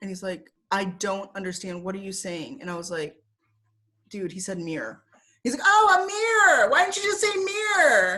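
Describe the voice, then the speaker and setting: Woman at a moderate pace, animated tone, big swings in loudness. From Michigan, US Midwest (Southfield). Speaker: former English teacher in Korea. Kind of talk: casual interview. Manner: animated storytelling.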